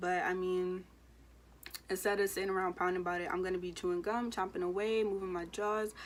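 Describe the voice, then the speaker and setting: Speaking with an American accent, a woman keeps a fairly quick pace and a medium pitch. Her intonation is monotone and flat. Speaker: beauty and weight-loss vlogger. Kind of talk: casual vlog talk. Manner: fast.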